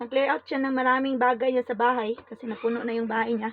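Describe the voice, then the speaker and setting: A woman with a high voice talks at a fairly quick rate. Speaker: vlogger giving away items. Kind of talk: live stream casual chat. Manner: halting.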